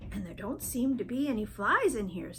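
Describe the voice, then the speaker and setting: Fairly high-pitched put-on character voice at a moderate pace, with clear background noise. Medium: read story.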